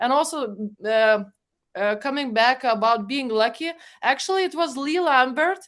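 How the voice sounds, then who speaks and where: Lively intonation and a moderate pace mark this voice with a Lithuanian accent. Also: woman, high pitch for a woman. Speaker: project management expert and guide co-author. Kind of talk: webinar panel discussion. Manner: hesitant, many fillers.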